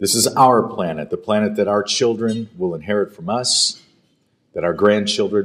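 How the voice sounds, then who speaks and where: A fairly slow male speaker at medium pitch. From United States. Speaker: event emcee and TV presenter. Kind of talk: formal speech at awards dinner. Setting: stage with audience at hotel dinner. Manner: animated.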